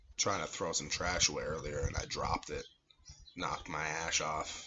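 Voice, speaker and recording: A man speaks quietly at a moderate pace. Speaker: amateur cigar and wine reviewer. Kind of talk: casual vlog monologue. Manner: talking quietly; halting, filler-heavy. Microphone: no microphone, camera audio.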